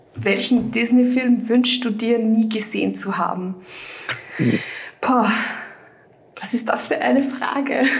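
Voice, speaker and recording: A woman's fairly high pitch and fairly even intonation, at a very slow pace with long, frequent pauses, amid noticeable background noise and audible room echo. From Austria, Vienna. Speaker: fan website writer. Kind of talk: casual chat.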